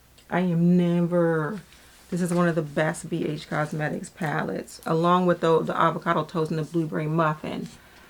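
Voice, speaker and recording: A woman speaks at a moderate pace with a fairly low pitch and flat, monotone intonation. There is noticeable background noise. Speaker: beauty vlogger. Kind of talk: casual product talk to camera.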